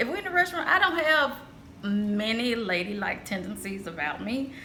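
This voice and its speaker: Loud and fairly high-pitched, a woman speaks with very wide pitch swings amid audible room echo and noticeable background noise. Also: moderate pace. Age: 40s. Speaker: lifestyle vlogger. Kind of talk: casual vlog monologue. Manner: cackling laugh.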